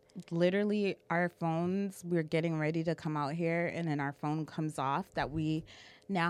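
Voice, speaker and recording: In an American accent, an unremarkable speaking voice moves at a moderate pace with fairly even intonation. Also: woman. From Boston. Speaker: podcast co-host. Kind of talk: casual chat. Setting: livestream.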